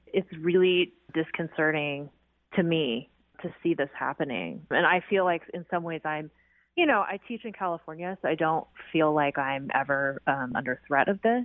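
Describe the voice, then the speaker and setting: A woman with a West Coast accent talks at a moderate pace in a fairly low pitch. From US Pacific Northwest, Seattle. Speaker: historian and author. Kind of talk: radio interview.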